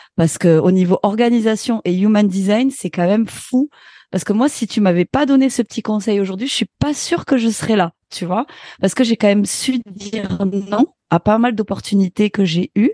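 Recorded dry and close with no echo, a woman speaks at a moderate pace in a medium pitch, using ordinary pitch variation and a dark, mellow tone. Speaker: radio host and sound technician. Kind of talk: interview conversation.

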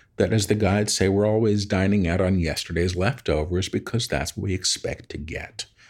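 A man with an ordinary speaking voice talks in a fairly low pitch with fairly even intonation. The recording is very clean, with a silent background. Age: 50s. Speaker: spiritual medium and author. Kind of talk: interview conversation.

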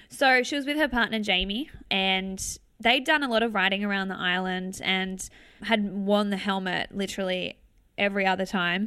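With an Australian accent, a woman speaks at a moderate pace in a medium pitch, her tone bright and sharp, with ordinary pitch variation on a very clean recording with a silent background. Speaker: motivational speaker. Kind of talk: interview conversation.

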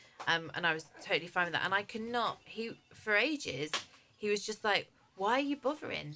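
A woman talks at a fairly quick pace in an English accent. Her medium-pitched voice moves in very wide pitch swings. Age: 30s. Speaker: head of broadcast and podcast producer, new mother. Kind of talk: casual chat. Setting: studio.

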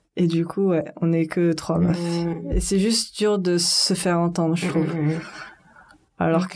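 A woman's fairly low, dark, mellow voice at a very slow pace, in a monotone with flat intonation. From France, Paris suburbs. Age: 20s. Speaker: web and mobile app developer. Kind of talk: casual chat.

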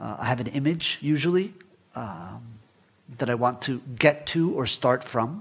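A man speaks with a Spanish accent at a medium pitch, his intonation lively. He leaves long, frequent pauses. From Guatemala, raised in Florida US. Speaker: writer. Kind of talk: onstage interview. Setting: stage with audience. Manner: hesitant, repeats words.

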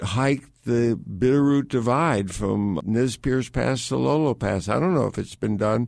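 A man talks at a fairly slow pace. His pitch is medium, with ordinary variation. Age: 60s. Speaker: adventurer. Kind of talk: interview. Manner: halting.

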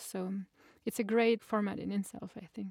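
With a French accent, a woman speaks at a fairly high pitch and with fairly even intonation. The sound is dry and close, with no echo. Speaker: flower farmer and interviewer. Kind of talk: interview; tutorial. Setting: video call; outdoors.

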